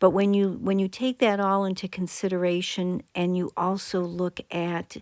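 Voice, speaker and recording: A woman's medium-pitched voice at a fairly slow pace, with fairly even intonation. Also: very clean recording, silent background. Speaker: psychologist commentator. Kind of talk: video commentary.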